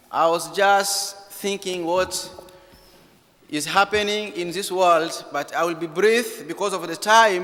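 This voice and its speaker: Speaking very slowly, a man has a high-pitched voice with ordinary pitch variation. Noticeable background noise runs under the recording. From eastern DR Congo. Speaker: refugee and Bible college student. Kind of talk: church talk / testimony. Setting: church. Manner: halting non-native phrasing.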